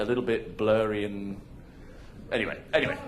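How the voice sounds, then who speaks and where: A man talks with a British accent. The room echo is audible. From Hong Kong. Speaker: conference speaker, marketing executive. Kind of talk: conference presentation. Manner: casual, halting with fillers.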